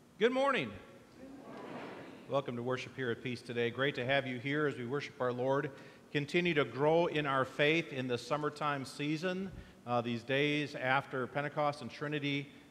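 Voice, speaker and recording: There is light background noise behind this man. He speaks at a moderate pace with fairly even intonation. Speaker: pastor. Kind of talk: church announcements, casual welcome. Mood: warm, relaxed. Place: church.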